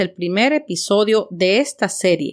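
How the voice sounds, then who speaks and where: This woman has an unremarkable speaking voice at a medium pitch, using lively intonation at a fairly slow pace on a very clean recording with a silent background. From Mexico City. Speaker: podcast host and teacher. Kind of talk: scripted podcast monologue. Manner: clear, measured for learners.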